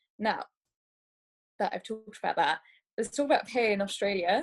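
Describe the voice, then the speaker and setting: With lively intonation, a woman speaks at a fairly high pitch in a dry, close sound with no echo. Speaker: doctor. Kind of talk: webinar presentation. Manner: fast.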